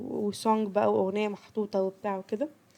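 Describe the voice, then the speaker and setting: A woman speaks with an Egyptian accent. Her fairly high pitch pairs with a dark, mellow tone. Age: 20s. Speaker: podcast host. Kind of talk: casual podcast talk.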